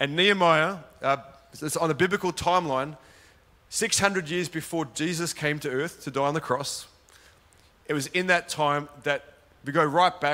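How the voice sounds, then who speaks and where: Spoken at a moderate pace in an Australian accent, the voice has a bright, sharp tone and fairly even intonation, broken by long, frequent pauses. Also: man, fairly high pitch for a man. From Sydney, Australia. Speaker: pastor. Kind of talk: sermon. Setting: church with live audience.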